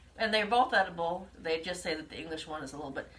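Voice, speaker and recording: Noticeable background noise fills the clip. Through it, a woman talks in an American accent. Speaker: home cooking livestream host. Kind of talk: live cooking demonstration.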